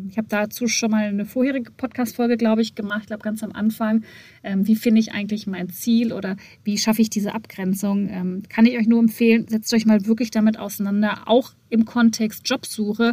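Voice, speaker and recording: A woman speaks at a fairly quick pace in a fairly high pitch with a dark, mellow tone. Her somewhat breathy voice keeps a monotone, flat intonation. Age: 30s. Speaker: podcast host and entrepreneur. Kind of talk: solo podcast monologue.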